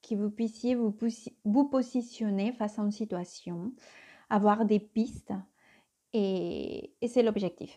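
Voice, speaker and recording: A woman speaks in a Spanish accent with a dark, mellow tone. Her pace is very slow. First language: Spanish (speaking French). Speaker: tarot reader. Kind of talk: tarot reading. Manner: hesitant, many fillers.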